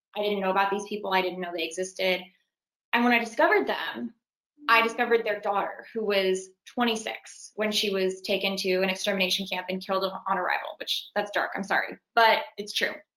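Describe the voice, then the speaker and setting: A woman speaks in a Californian accent. She moves at a fairly quick pace with ordinary pitch variation. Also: medium pitch for a woman. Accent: Californian American English. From Los Angeles. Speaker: actress. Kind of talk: casual interview.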